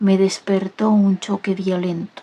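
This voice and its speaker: Soft-spoken and gentle, a woman with a dark, mellow tone talks at a fairly slow pace. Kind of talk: soft audiobook-style reading, ASMR. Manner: soft-spoken, gentle, slow.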